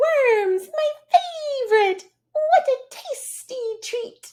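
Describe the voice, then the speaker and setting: This put-on character voice has an extremely high pitch and a cheerful tone. It moves at a very slow pace. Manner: chirpy, twittering, cheerful.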